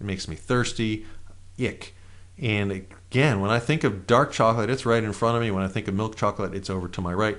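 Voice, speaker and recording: With a plain, everyday voice, a man speaks fairly quickly at a fairly low pitch and with fairly even intonation. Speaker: NLP trainer. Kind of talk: guided exercise.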